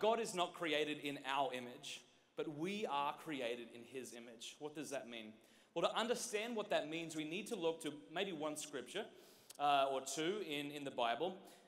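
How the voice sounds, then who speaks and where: In an Australian accent, a man speaks at a moderate pace in a fairly high voice. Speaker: speaker. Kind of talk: conference workshop talk to youth. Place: stage. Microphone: handheld.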